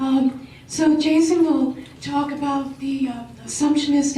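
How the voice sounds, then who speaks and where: The speech moves at a fairly slow pace with monotone, flat intonation, and the recording has audible room echo and noticeable background noise. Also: woman. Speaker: business professor. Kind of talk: panel presentation.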